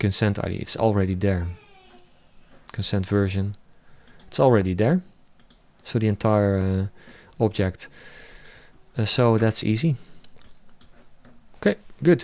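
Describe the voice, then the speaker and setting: With a non-native accent, a man speaks at a fairly low pitch, leaving long, frequent pauses. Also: ordinary pitch variation, moderate pace. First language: not English. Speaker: web developer. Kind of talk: live coding tutorial. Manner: halting.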